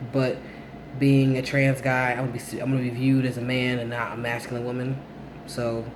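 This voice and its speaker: Through noticeable background noise and audible room echo, a man speaks in a flat monotone at a moderate pace. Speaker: vlogger documenting transition. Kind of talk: casual vlog update. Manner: hesitant, many fillers.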